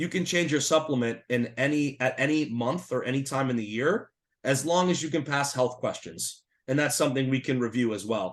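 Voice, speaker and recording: A man with an American accent speaks at a fairly quick pace in an ordinary speaking voice. His pitch is medium, with ordinary pitch variation. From Massachusetts, US. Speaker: Medicare insurance consultant. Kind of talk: webinar presentation.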